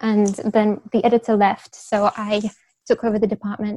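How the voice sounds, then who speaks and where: Her voice dark and mellow, a woman talks at a moderate pace with a dry, close sound and no echo. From Beijing, China (Russian heritage). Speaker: literary agent, former publishing editor. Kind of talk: casual interview chat.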